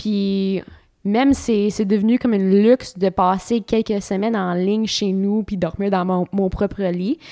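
With a dark, mellow tone, a woman speaks at a fairly slow pace and with fairly even intonation on a very clean recording with a silent background. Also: medium pitch for a woman, dry, close sound with no echo. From Ontario, Canada. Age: 30s. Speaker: professional cyclist. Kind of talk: interview. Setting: at home.

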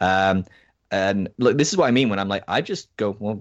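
With an American accent and a fairly low pitch, a man talks at a fairly quick pace with ordinary pitch variation over a quiet background. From Scotland. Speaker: researcher and podcaster on deconstruction. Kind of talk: casual interview.

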